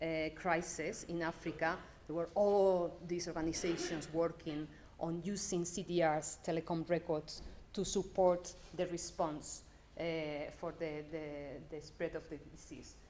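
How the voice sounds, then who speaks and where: In a strong Spanish accent, a woman speaks fairly slowly with flat, monotone intonation and a fairly low pitch, her dark, mellow tone carrying audible room echo. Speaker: development data program manager. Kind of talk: conference talk.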